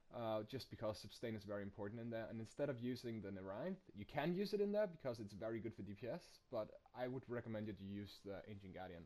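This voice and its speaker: A man with a non-native accent and a dark, mellow tone, talking at a very fast pace. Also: medium pitch for a man, ordinary pitch variation. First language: not English. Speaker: gaming youtuber. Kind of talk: tutorial. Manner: halting.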